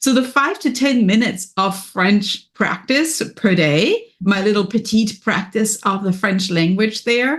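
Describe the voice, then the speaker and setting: A woman with a German accent speaks at a fairly slow pace with lively intonation. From Germany. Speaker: business and wellness coach. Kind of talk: podcast interview. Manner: energetic.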